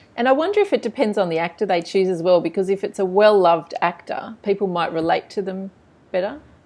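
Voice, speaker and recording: Against a quiet background, a woman talks very fast at medium pitch with an Australian accent. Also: ordinary pitch variation. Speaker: book blog interviewer. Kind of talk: interview. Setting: video call.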